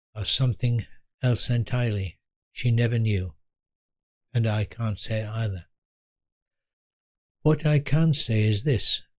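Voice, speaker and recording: At a fairly slow pace and medium pitch, a man speaks somewhat breathily with ordinary pitch variation and long, frequent pauses. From England. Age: 80s+. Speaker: elderly storyteller. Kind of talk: personal storytelling. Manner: reflective, unhurried; occasional stumbles and repetitions.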